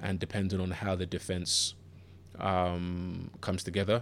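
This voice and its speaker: A man speaks with a very deep, low pitch and monotone, flat intonation. The recording is very clean, with a silent background. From Southeast London (Bermondsey). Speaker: sports podcast host. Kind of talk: solo podcast monologue. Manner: hesitant, many fillers and repeats.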